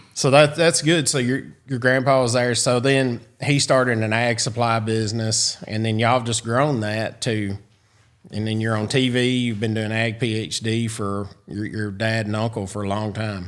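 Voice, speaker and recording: With a Southern US accent, a man speaks at medium pitch and a moderate pace with fairly even intonation. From US South. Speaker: podcast host. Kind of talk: podcast interview. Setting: studio.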